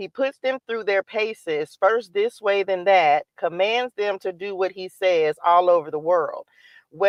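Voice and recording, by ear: The quiet background leaves room for lively intonation as someone reads aloud in a natural voice.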